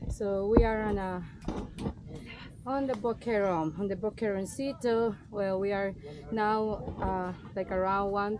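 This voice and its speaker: The speech moves at a fairly slow pace with fairly even intonation and long, frequent pauses over noticeable background noise. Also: woman. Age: 20s. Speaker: tour guide. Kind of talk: guided tour explanation. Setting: outdoors. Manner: halting.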